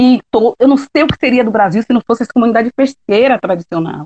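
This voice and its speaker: A woman speaks with a Bahian accent at a fairly high pitch. Her fairly quick delivery has a dry, close sound with no echo. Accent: Bahian Brazilian Portuguese. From Bahia, Brazil (Ilha de Maré, Salvador). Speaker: shellfish gatherer and quilombola community leader. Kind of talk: interview testimony.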